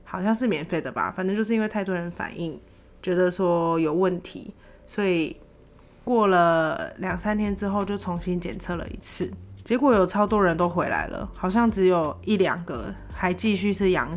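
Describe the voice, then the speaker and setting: A woman's plain, everyday voice with ordinary pitch variation. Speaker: podcaster working abroad. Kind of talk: solo casual storytelling.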